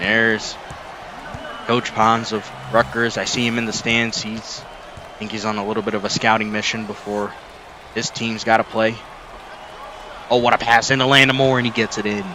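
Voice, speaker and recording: Crowd noise fills the background as a man speaks at a medium pitch. He leaves long, frequent pauses. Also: moderate pace. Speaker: sim league play-by-play commentator. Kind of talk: live commentary. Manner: kept quiet, less animated than usual.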